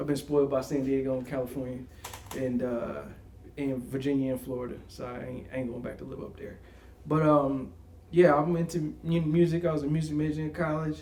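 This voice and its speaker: A man with an American accent speaks in a fairly high voice with fairly even intonation and big swings in loudness, with audible room echo. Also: fairly quick pace. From upstate New York, Albany area. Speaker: podcast co-host. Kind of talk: casual chat.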